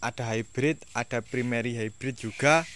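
A man at a fairly slow pace, dry sound with no echo, light background noise. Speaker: orchid seller. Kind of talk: sales pitch. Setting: video at the orchid stock, seller speaking to camera. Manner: upbeat, persuasive, direct appeal to buyers. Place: garden. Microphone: phone near.

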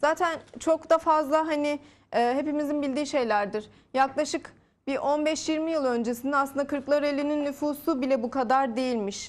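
A woman speaks in a high voice with fairly even intonation. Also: moderate pace. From Turkey. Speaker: real estate sales manager. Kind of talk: TV interview, sales pitch. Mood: calm, persuasive. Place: studio. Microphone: lapel.

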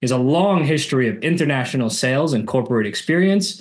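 With lively intonation, a man keeps a moderate pace over a quiet background. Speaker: podcast host. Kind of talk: podcast interview. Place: home room. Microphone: video call.

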